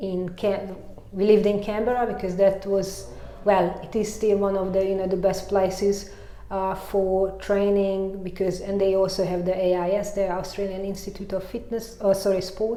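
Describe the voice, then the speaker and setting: A woman speaks at medium pitch in a strong Hungarian accent with monotone, flat intonation. Audible room echo and noticeable background noise run through the recording. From Hungary. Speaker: mountain bike coach and former racer. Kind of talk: interview. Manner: halting, many fillers.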